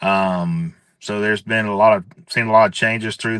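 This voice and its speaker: Against a quiet background, a man with a fairly low pitch and a bright, sharp tone speaks with lively intonation. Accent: Mississippi. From US South, Hattiesburg, Mississippi. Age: 30s. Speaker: livestock and horse sale announcer. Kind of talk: podcast interview. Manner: loud.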